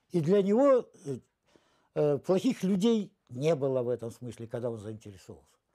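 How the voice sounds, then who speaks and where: At a fairly slow pace, a dark, mellow voice swings very widely in pitch against a quiet background. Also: man. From Russia, near the Ukrainian border. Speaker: film director. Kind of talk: interview reminiscence. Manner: halting, many fillers. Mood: reflective, animated reminiscing. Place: home room. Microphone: lapel.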